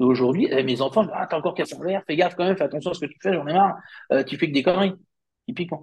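A man with a high pitch and ordinary pitch variation talks at a very fast pace. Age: 50s. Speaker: company founder. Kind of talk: interview. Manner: halting, many fillers.

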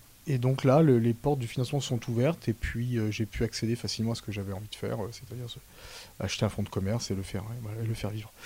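A man's medium-pitched, dark, mellow voice, somewhat breathy, at a very fast pace with fairly even intonation. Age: 40s. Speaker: wine shop owner. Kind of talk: interview. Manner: halting.

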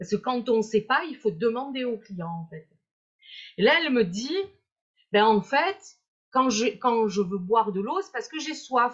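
Pausing long and often, a woman speaks at a fairly slow pace in a fairly high voice, with very wide pitch swings and big swings in loudness. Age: 50s. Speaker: hypnotherapist and weight-loss coach. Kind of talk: live-stream interview. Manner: hesitant, repeating words.

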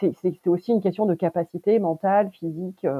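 A woman talks at a moderate pace and a fairly low pitch. Her pitch variation is ordinary. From France, Turkish-born parents. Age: 30s. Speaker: family caregiver. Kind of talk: testimony. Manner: halting, many hesitations.

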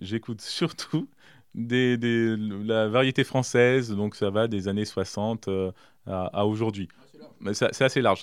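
A man's voice at a medium pitch, with ordinary pitch variation. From France, Berry (Indre). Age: 30s. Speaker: mayor. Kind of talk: interview. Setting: mayor's office. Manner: halting, frequent repetitions.

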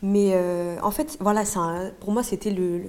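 A woman talks in a dark, mellow tone. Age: 20s. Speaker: aspiring journalist. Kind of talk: casual chat.

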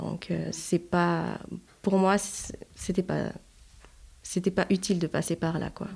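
Speaking very slowly with long, frequent pauses, a woman keeps a monotone, flat intonation marked by vocal fry. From Haiti. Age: 30s. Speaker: mother of four. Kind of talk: casual chat.

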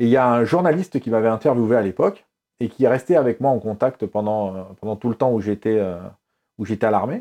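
A dark, mellow tone against a quiet background. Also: man, medium pitch for a man, ordinary pitch variation, fairly quick pace. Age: 50s. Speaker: former radio journalist and rap radio host. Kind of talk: interview.

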